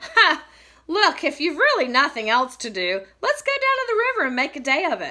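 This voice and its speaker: The speaker puts on a high-pitched character voice. The pace is moderate. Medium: read story.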